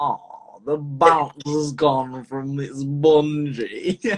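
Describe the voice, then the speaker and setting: A man does a put-on character voice in a northern English accent. It is fairly high-pitched and very slow. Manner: deadpan.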